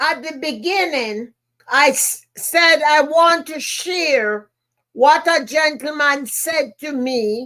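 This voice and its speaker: Speaking at a very slow pace, a woman with a Jamaican accent uses a high pitch and ordinary pitch variation. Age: 70s. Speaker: motivational speaker and podcast host. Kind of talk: podcast monologue, personal storytelling. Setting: live stream.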